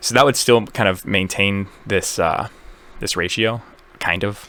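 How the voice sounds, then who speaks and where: A man speaks with a bright, sharp tone at a fairly low pitch. His pitch varies in an ordinary way. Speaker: amateur concert lighting designer. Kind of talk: casual tutorial walkthrough. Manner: fast; rambling, halting with fillers.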